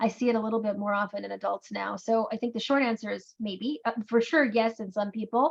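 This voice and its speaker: A woman speaks at a fairly high pitch and a fairly quick pace, hardly pausing at all. Her intonation stays fairly even. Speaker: neurologist answering patient questions. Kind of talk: Q&A webinar. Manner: fast.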